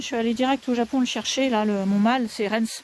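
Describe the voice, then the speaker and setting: A woman speaks over noticeable background noise. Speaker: dog breeder. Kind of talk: live stream chat. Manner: fast.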